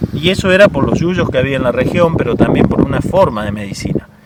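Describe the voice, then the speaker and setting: There's a male speaker here. Background noise is clearly audible throughout. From Córdoba hills, Argentina. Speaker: medicinal herbalist, Comechingón descendant. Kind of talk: interview answer. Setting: outdoors, windy.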